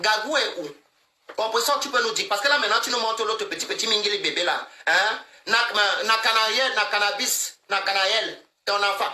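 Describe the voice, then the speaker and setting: In a room with audible echo, a man projects a raised, high-pitched voice at a moderate pace. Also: ordinary pitch variation. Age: 60s. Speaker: social media live streamer. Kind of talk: heated live-stream rant. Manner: animated.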